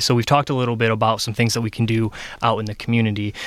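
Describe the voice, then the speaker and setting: A man with an American accent speaks at a very fast pace and medium pitch in a monotone, flat intonation, on a very clean recording with a silent background. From Michigan (Ionia). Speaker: health charity policy advocate. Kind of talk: radio interview. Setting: radio studio. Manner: hesitant, many fillers.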